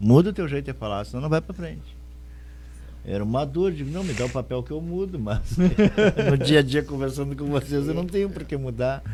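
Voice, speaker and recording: Between long, frequent pauses, a man with a fairly low pitch speaks at a fairly quick pace with very wide pitch swings. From Rio Grande do Sul, Brazil. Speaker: radio podcast co-host, former stage actor. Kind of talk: casual chat.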